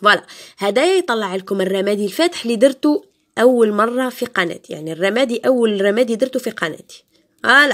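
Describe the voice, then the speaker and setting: Speaking with an Algerian accent, the voice moves at a fairly quick pace with lively intonation. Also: woman, fairly high pitch for a woman. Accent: Algerian Arabic with French code-switching. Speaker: beauty youtuber. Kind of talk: tutorial. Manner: casual, code-switching.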